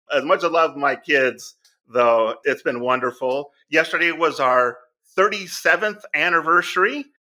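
With a bright, sharp tone and a fairly high pitch, a man speaks at a fairly slow pace, using lively intonation and very even loudness. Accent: American. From Southern California. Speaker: charity founder, former real estate agent. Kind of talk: interview conversation.

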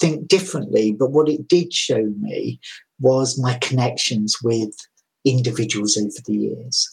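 A man speaks at a moderate pace with a somewhat breathy voice and lively intonation. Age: 50s. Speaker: nurse educator. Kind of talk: interview conversation.

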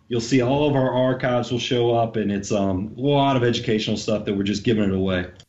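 A man speaks at a fairly quick pace in an ordinary speaking voice. His medium pitch shows ordinary variation. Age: 40s. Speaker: financial advisor. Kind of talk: podcast interview.

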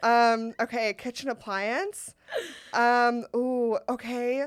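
A woman with an American accent, high-pitched and very slow, on a very clean recording with a silent background. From US West Coast, Sacramento. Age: 30s. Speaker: comedian. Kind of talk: casual chat.

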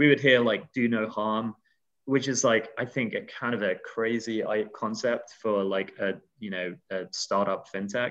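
Speaking with a British accent at a fairly slow pace, a man uses a medium pitch and fairly even intonation over a quiet background. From UK. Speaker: crowdfunding business development director. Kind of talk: casual interview chat.

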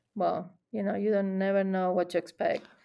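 A woman with an Argentine accent on a very clean recording with a silent background. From Buenos Aires, Argentina. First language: Spanish. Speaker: chef and gelato shop owner. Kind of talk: casual interview.

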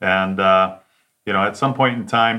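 With an American accent, a man uses a plain, everyday voice, fairly low in pitch, with fairly even intonation at a moderate pace. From Detroit suburbs, Michigan. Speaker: sales consultant. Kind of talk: interview.

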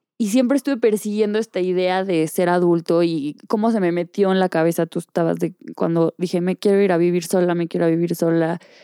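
A woman with a Mexican accent speaks at a fairly quick pace, her pitch fairly low and her tone dark and mellow. The recording is very clean with a silent background, dry and close with no echo, and her loudness stays very even. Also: ordinary pitch variation. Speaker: podcast co-host. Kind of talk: casual chat.

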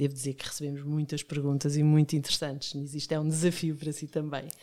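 Very fast in pace, a woman with a very deep, low voice speaks in a very clean recording with a silent background. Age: 50s. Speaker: podcast host. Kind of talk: interview.

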